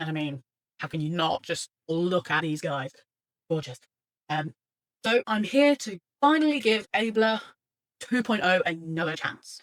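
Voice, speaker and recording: A woman with a British accent is recorded with a dry, close sound and no echo. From Britain. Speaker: artist and webcomic creator vlogger. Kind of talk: casual software tryout vlog. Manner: hesitant, many fillers.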